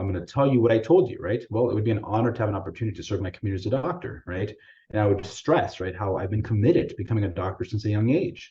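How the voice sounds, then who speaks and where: Speaking very fast with hardly any pauses, a man uses lively intonation in a fairly low, somewhat breathy voice. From US, Salvadoran immigrant family. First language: Spanish. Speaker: physician presenter. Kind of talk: webinar presentation. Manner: casual, many fillers like right and you know.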